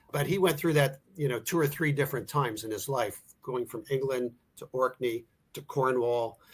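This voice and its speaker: A man with an American accent talks at a moderate pace in an ordinary speaking voice. His pitch is medium, with ordinary pitch variation. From US Northeast, Philadelphia. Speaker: author. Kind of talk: interview. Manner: conversational, some false starts.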